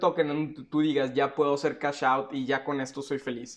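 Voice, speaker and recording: A man with a Mexican accent talks at a moderate pace. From Mexico. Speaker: YouTuber, crypto and NFT commentator; YouTuber, NFT commentator. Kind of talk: unscripted video monologue. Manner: casual, slangy. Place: home room.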